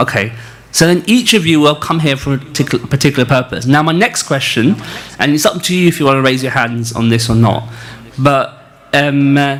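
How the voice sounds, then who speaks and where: Someone with a northern English accent speaks at a fairly quick pace with ordinary pitch variation against noticeable background noise. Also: man, fairly high pitch for a man. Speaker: spiritual teacher leading a retreat. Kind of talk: religious lecture. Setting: retreat hall with live audience, also streamed on video call. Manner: halting, many fillers.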